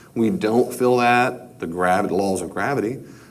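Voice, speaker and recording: A man speaks at medium pitch. Audible room echo surrounds his voice. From New York. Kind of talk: lecture. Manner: conversational, repetitive.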